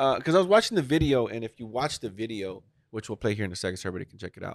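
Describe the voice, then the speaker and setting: Speaking at a very fast pace, a man with a fairly low pitch uses lively intonation and an animated tone. The sound is dry and close with no echo, on a very clean recording with a silent background. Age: 30s. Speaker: podcast host. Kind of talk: casual chat.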